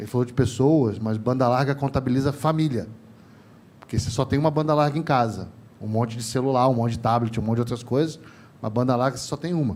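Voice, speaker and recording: A man's very fast, animated delivery in a Rio de Janeiro accent, medium in pitch with ordinary variation. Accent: carioca. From Rio de Janeiro, Brazil. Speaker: telecom industry trainer, panelist. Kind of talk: panel discussion. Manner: animated, informal.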